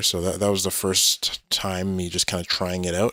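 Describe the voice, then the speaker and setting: Recorded very cleanly against a silent background, a man with a Canadian accent speaks at a moderate pace and a fairly low pitch. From Canada. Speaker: gaming streamer. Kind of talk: casual live-stream chat. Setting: live stream. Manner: halting, many fillers and repeats.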